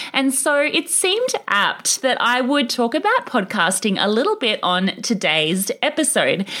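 A woman uses a raised, projected voice at a high pitch with very wide pitch swings, very even loudness, a fairly slow pace and hardly any pauses, over noticeable background noise. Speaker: podcast host. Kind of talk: podcast interview, casual chat.

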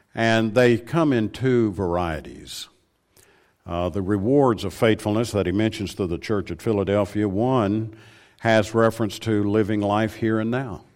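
With a Southern US accent, a man speaks at a fairly slow pace in a fairly low voice against a quiet background. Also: ordinary pitch variation. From Tennessee. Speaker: preacher. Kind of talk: sermon. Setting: church.

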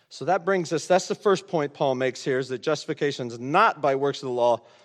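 With an American accent and an ordinary speaking voice, a man of medium pitch uses lively intonation, his sound dry and close with no echo over a quiet background. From US Midwest, rural Indiana. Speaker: pastor. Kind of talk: sermon. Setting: church.

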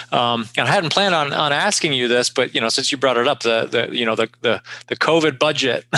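A man talks at a medium pitch that varies in an ordinary way, with noticeable noise behind him. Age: 40s. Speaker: podcast host. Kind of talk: interview.

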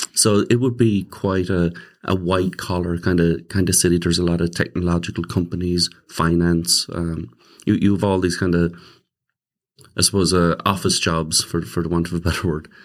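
A man with a Limerick accent speaks at a moderate pace. His pitch is very deep and low. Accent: Irish (Limerick). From Ireland, Limerick. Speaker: pastor. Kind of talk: interview.

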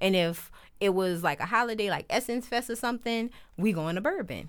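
A woman with a New Orleans accent speaks at a moderate pace. The recording is very clean, with a silent background. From New Orleans, Uptown. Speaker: podcast host, former shelter resident and mother. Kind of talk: casual interview chat.

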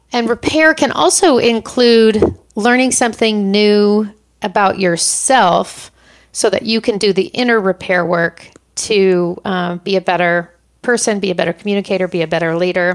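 A woman with a plain, everyday voice of medium pitch, ordinary pitch variation and moderate pace. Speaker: coaching podcast host. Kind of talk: solo monologue, book recommendations. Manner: many filler words, conversational.

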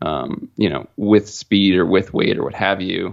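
A man with a plain, everyday voice speaks fairly low and fairly slowly, his intonation fairly even. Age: 30s. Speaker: hunter and outdoor gear company employee. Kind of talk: casual chat.

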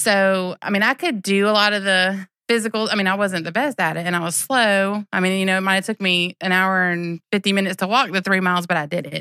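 A woman with a Southern US accent speaks at a very fast pace in a bright, sharp tone. The recording is very clean, with a silent background. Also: medium pitch for a woman, fairly even intonation, dry, close sound with no echo. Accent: US South. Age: 40s. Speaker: teacher. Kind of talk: casual interview.

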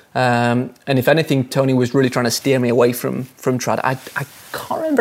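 A man with an English accent talking at a very fast pace. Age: 30s. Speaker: professional rock climber. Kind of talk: interview. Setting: studio.

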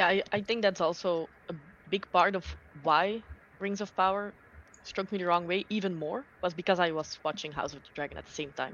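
With a plain, everyday voice, a woman speaks at a medium pitch, showing ordinary pitch variation and big swings in loudness. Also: fairly quick pace. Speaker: book reader. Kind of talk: casual chat. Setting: video call.

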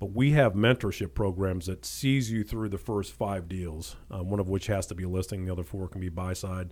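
On a very clean recording with a silent background, a man with an American accent speaks at a fairly quick pace in a very deep, low pitch with ordinary pitch variation. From Ohio, Cleveland suburbs, then southern Indiana/Kentucky. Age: 40s. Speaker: real estate agent. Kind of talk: casual interview chat.

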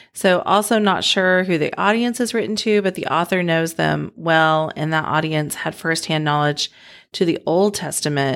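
A plain, everyday voice from a woman at a moderate pace with ordinary pitch variation. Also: fairly low pitch for a woman, very clean recording, silent background. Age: 40s. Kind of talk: casual devotional chat.

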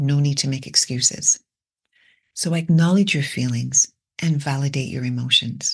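With a very deep, low pitch and a somewhat breathy quality, a woman speaks fairly slowly with lively intonation. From Britain. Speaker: podcast host. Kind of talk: reflective monologue.

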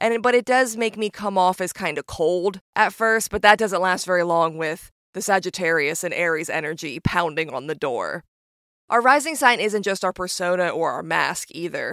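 The recording is very clean, with a silent background and a dry, close sound free of echo. A woman speaks with lively intonation. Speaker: astrologer and podcast host. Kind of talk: podcast intro, light talk about herself. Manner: fast talker, high energy; warm, upbeat.

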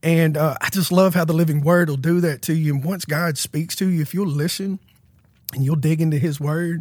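This very clean recording with a silent background captures a man with an American accent, a fairly high pitch, fairly even intonation and a somewhat breathy sound. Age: 30s. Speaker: former prisoner sharing faith testimony. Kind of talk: testimony.

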